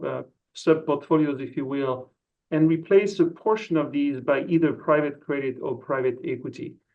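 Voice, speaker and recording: The talking proceeds at a moderate pace. It comes with a French accent. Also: man. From France. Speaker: investment executive. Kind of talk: interview.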